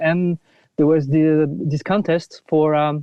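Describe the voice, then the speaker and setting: A French accent colors the speech. It moves at a moderate pace. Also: man. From France, near Paris. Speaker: film composer. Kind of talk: podcast interview. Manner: halting, many fillers and restarts.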